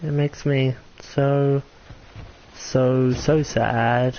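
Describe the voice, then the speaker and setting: A man's fairly high-pitched voice against noticeable background noise. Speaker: gaming streamer. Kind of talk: live gameplay commentary.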